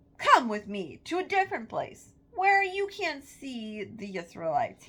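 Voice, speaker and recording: Using a put-on character voice, a woman speaks at a moderate pace in a high pitch, with very wide pitch swings and big swings in loudness. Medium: read story. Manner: demanding, impatient.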